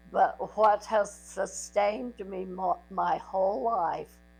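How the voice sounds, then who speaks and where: A woman speaking at a very slow pace over music in the background. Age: 80s+. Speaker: grandmother sharing life story. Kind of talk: personal recorded message to family.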